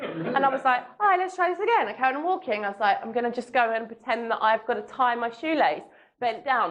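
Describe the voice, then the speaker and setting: At a very fast pace, a woman speaks with a high pitch and very wide pitch swings. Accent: London. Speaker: matchmaker and dating coach. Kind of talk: seminar talk.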